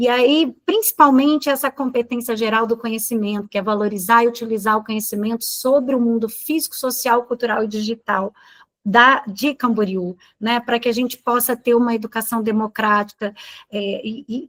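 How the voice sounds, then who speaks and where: An unremarkable speaking voice, a woman at fairly high pitch and moderate pace, in a dry, close sound with no echo. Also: fairly even intonation. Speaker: teacher trainer. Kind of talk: training session.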